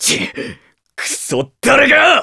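A man in a cartoonish character voice speaks slowly at an extremely high pitch, with very wide pitch swings, vocal fry and a bright, sharp tone.

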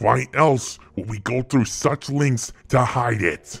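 A raspy, put-on character voice with a menacing tone moves at a fairly slow pace, with faint music in the background. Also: man. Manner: contemptuous, menacing.

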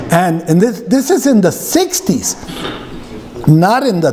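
The voice has an American accent. Its pitch swings very wide. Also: man. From US Southwest (Arizona). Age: 60s. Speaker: pastor. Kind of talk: sermon. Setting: church. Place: church. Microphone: podium.

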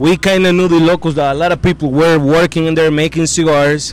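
A man's voice, dry with no echo. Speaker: interview guest. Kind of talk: interview answer. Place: farm machine. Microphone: handheld.

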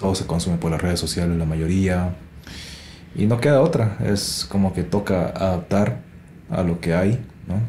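A man with a very deep, low pitch speaks with long, frequent pauses. Noticeable background noise and audible room echo fill the recording. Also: lively intonation, moderate pace. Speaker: podcast host, musician and mastering engineer. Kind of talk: casual interview.

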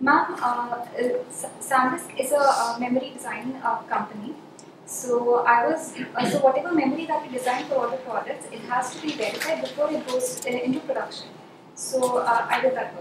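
A woman speaks at a moderate pace in a high voice with fairly even intonation. Audible room echo and noticeable background noise come through. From India. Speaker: civil services candidate. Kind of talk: mock job interview. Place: meeting room. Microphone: camera far.

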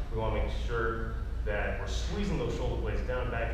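A man at a moderate pace, with strong room echo and noticeable background noise. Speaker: fitness instructor. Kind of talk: tutorial. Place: gym. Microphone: camera far.

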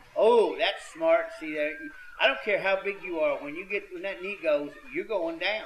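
Loudness swings widely as a man speaks. He keeps a moderate pace over noticeable background noise. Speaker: wrestling commentator. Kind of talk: live wrestling commentary. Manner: folksy, halting, stop-start analysis.

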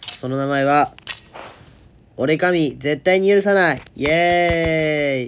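Very slowly, a man talks in a fairly high register, his pitch moving in an ordinary way. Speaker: game video creator. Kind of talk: casual talk about a mobile game. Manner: natural speaking voice, not put on.

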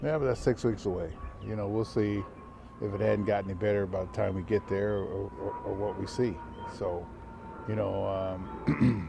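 Amid noticeable background noise, a man with a fairly low pitch speaks at a moderate pace with long, frequent pauses, ordinary pitch variation and a dry sound with no echo. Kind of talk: interview answer. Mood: relaxed, reassuring, light humor. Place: stadium. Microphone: handheld.

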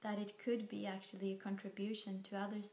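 A woman's voice carries audible room echo. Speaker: vlogger. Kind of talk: casual talk to camera. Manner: slow, hesitant. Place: home room. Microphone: phone near.

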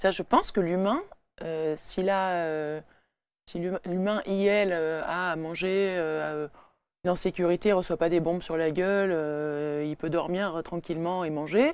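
Speaking at a very slow pace with long, frequent pauses, a woman with a fairly low pitch keeps her intonation fairly even in a dry sound with no echo. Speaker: burlesque performer and singer. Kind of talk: casual chat. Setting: studio.

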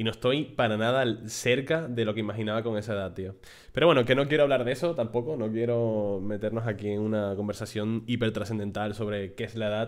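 Against a quiet background, a man talks in an animated tone at a fairly quick pace, his pitch varying in an ordinary way. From Spain. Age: 30s. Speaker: gaming YouTuber and streamer; gaming YouTuber, streamer. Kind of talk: casual talk to camera. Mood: warm, grateful, relaxed. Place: home room. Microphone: studio mic.

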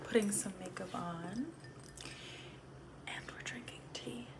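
Through noticeable background noise, a soft-spoken woman speaks at medium pitch. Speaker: ASMR content creator. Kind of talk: ASMR get-ready-with-me, casual talk to camera. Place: home room. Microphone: phone near.

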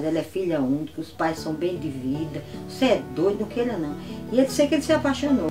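Clear music plays in the background as the speaker goes at a fairly quick pace with very wide pitch swings. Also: woman, fairly low pitch for a woman. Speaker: wife of a centenarian former military policeman. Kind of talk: interview answer. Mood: warm, animated storytelling. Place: home room.

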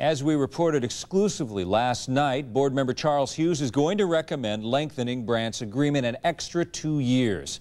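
A man's unremarkable speaking voice at a medium pitch and moderate pace, with ordinary pitch variation and very even loudness. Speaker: television news anchor. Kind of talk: local TV newscast anchor read. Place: studio.

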